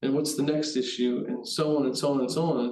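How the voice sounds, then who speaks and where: There is audible room echo on this recording. A man speaks in a fairly high pitch. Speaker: HVAC test and balance project manager. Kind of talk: webinar presentation. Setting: online webinar. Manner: fast.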